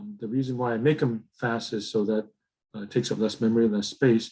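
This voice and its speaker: Here a man uses an ordinary speaking voice, medium in pitch, with ordinary pitch variation. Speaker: teacher. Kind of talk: casual lecture.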